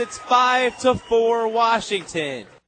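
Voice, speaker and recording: Over noticeable background noise, a man speaks very slowly with fairly even intonation. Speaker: radio play-by-play announcer. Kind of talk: live play-by-play call of a game.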